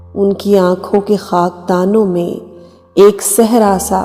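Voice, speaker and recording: A woman's monotone, flat delivery over music in the background. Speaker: poetry reciter. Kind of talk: poetry reading.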